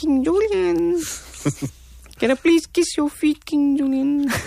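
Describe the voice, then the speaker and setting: A put-on character voice, high in pitch, speaks at a fairly slow pace. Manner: pompous, playful.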